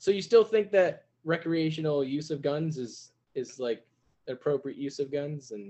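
A man with a plain, everyday voice speaks at a moderate pace, his pitch fairly high. His intonation is lively, and his loudness swings a lot. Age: 20s. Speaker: podcast host. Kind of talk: casual interview.

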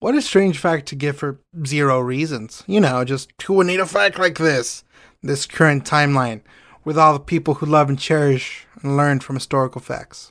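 Recorded very cleanly against a silent background, a man with a plain, everyday voice speaks at a moderate pace and a fairly high pitch with ordinary pitch variation. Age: 20s. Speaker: comedy history podcast co-host. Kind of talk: casual comedic chat.

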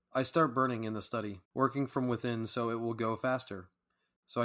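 A man with a plain, everyday voice, medium in pitch, at a moderate pace with fairly even intonation, on a very clean recording with a silent background. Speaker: podcast host reading a poem. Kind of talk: poetry reading, read aloud as a campfire tale. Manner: measured, calm, storytelling cadence.

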